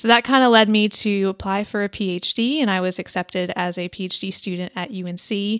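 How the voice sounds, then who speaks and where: On a very clean recording with a silent background, a woman in an unremarkable speaking voice talks fairly quickly at a medium pitch with hardly any pauses. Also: ordinary pitch variation. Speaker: recent PhD graduate. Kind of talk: interview.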